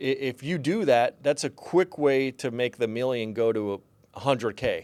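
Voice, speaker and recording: This man's voice sits at a medium pitch with ordinary pitch variation. He speaks at a moderate pace, and the sound is dry and close with no echo. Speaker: financial advisor. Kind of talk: podcast conversation. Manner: mumbling; conversational, filler-heavy.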